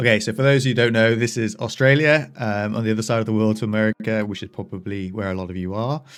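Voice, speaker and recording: Talking very fast with hardly any pauses, a man with an English accent keeps a fairly low pitch and fairly even intonation. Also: very clean recording, silent background. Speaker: software developer. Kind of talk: casual tutorial. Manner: casual, with fillers and self-corrections.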